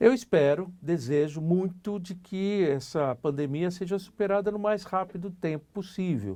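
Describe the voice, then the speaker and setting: There is a quiet background here. A man speaks with a dark, mellow tone. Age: 60s. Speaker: politician. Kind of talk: interview. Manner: halting.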